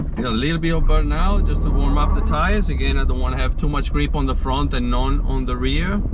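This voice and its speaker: Talking at a very fast pace with hardly any pauses, a man keeps his loudness very even, while audible room echo and noticeable background noise fill the recording. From Italy. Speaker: amateur racing driver and car vlogger. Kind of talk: casual vlog commentary. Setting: outdoors at a hill climb event. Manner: casual, hesitant with fillers.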